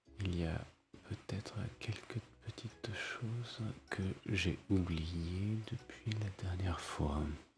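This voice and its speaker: A man whispers very slowly, leaving long, frequent pauses, while noticeable background noise carries on behind him. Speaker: ASMR gaming creator. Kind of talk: ASMR let's play commentary. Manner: whispered.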